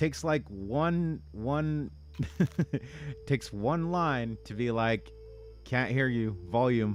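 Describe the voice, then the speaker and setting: With music in the background, a man speaks very slowly at a medium pitch, his pitch swinging very widely between long, frequent pauses. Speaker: gaming streamer. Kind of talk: live stream commentary. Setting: home streaming rig. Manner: quiet, soft-spoken.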